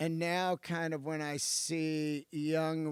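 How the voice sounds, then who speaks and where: A man with a fairly high voice speaks in a very clean recording with a silent background. The sound is dry and close, with no echo. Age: 50s. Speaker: stand-up comedian. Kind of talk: casual chat. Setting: podcast studio.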